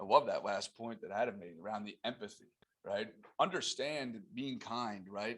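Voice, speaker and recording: There is lively intonation in this man's speech. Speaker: team meeting moderator. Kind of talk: panel moderation. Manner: loud.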